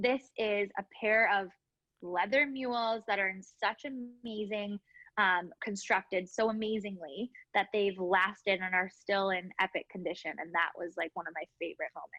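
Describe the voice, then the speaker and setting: A woman with a Canadian accent speaks at a moderate pace in an ordinary speaking voice, her medium pitch rising and falling in an ordinary way. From Canada, Winnipeg. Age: 30s. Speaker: business owner. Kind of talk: interview. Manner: casual, filler-heavy.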